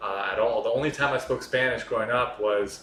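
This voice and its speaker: Over noticeable background noise and audible room echo, a man with an American accent speaks at a fairly quick pace. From North Carolina, US. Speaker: journalist. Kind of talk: casual chat. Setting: in-person podcast in Miami.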